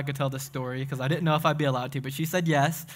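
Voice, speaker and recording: A man with a Southern US accent speaks in a bright, sharp tone. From Tennessee (Crossville). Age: 20s. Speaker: young adults pastor. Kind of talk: sermon. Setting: church. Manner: animated.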